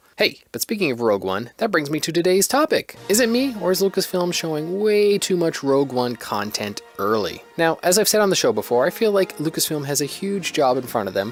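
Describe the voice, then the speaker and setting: Over music in the background, a man with a fairly high voice talks at a fairly quick pace, his pitch swinging very widely. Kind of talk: casual podcast monologue.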